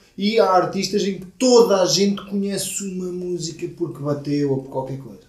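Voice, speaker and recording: In a European Portuguese accent, a man with a high voice and ordinary pitch variation speaks amid audible room echo. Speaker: podcast co-host. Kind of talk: casual chat.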